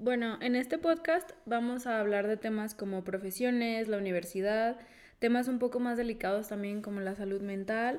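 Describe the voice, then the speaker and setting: A woman's fairly high voice shows ordinary pitch variation in a normal speaking voice. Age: 20s. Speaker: podcast co-host. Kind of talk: casual chat.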